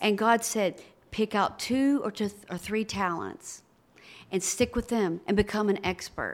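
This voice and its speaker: Speaking at a fairly slow pace with an American accent, this person has a normal speaking voice and fairly even intonation. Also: woman, medium pitch for a woman. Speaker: pastor. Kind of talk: interview.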